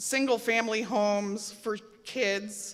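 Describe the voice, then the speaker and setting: Loud and bright, a woman's sharp-toned voice sits fairly high in pitch in a very clean recording with a silent background. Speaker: public commenter, nurse. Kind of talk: public hearing comment.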